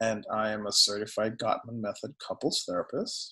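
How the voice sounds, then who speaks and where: A man with a Guyanese accent speaks at a fairly slow pace. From Guyana. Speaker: psychotherapist. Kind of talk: interview.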